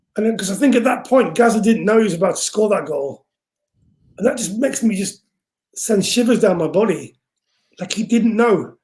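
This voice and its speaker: A man with an English accent, high-pitched and animated in tone, at a fairly quick pace broken by long, frequent pauses. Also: ordinary pitch variation. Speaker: music producer and singer. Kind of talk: casual interview chat. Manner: loud speaking voice.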